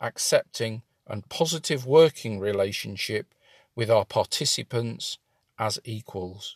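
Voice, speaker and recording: A man with a British accent talks at a fairly slow pace in a somewhat breathy voice, the sound dry and close with no echo on a very clean recording over a silent background. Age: 50s. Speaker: employment support coach. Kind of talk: scripted narration.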